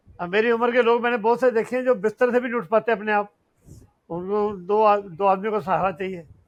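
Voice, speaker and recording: His intonation is fairly even. The man's voice sits at a high pitch. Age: 80s+. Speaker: fitness athlete. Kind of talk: interview.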